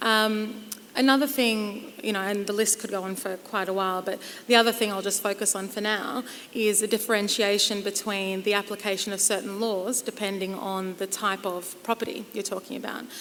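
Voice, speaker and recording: At a fairly quick pace, a woman with a medium pitch and an Australian accent speaks in a flat monotone. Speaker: property lawyer. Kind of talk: conference panel discussion.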